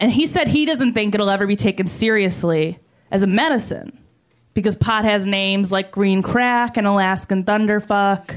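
A woman with an American accent has an ordinary speaking voice at a medium pitch. She keeps a moderate pace, very even loudness and ordinary pitch variation. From New York. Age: 20s. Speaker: stand-up comedian. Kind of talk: stand-up.

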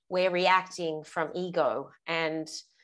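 A woman's fairly low, monotone voice with flat intonation over a quiet background. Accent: Australian. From Australia. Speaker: parenting coach, guest. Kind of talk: casual interview.

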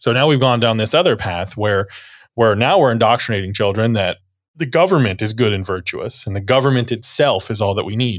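A man with an American accent talks at a fairly quick pace in a normal speaking voice. The recording is very clean, with a silent background. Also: medium pitch for a man, ordinary pitch variation. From US South, northeast Florida. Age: 40s. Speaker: church deacon and blog writer. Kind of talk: casual interview conversation.

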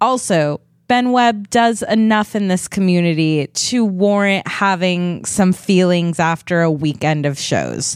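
A woman's ordinary speaking voice, medium in pitch with ordinary pitch variation, at a fairly slow pace with hardly any pauses and very even loudness, in a very clean recording with a silent background. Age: 30s. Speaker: comedian. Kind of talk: casual chat.

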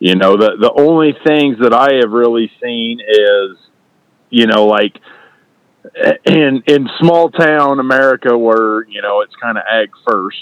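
A man speaking at a fairly slow pace, ordinary pitch variation, and a dry, close sound with no echo. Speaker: farm equipment dealer. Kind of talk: casual conversation.

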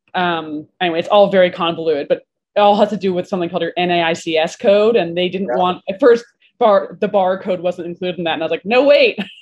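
Speaking with an American accent, a woman uses a medium pitch and ordinary pitch variation. Her pace is very fast. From Vermont, US. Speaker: bartender and bar owner. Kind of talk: casual interview chat.

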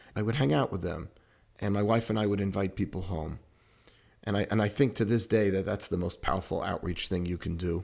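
A man with a New York accent speaks at a fairly low pitch. His pace is fairly quick and his pitch variation ordinary. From New York City, Queens. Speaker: rabbi. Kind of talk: interview.

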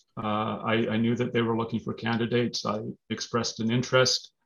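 A man speaks with a Canadian accent in an ordinary speaking voice. His pitch is medium and his pace moderate. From Manitoba, Canada (Brandon). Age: 50s. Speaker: lawyer and political candidate. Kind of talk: interview.

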